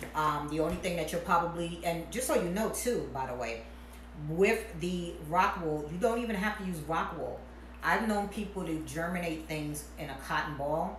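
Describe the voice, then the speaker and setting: The speaker talks at a moderate pace with ordinary pitch variation. Noticeable background noise and audible room echo are present. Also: woman. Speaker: hydroponics hobbyist youtuber. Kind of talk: tutorial.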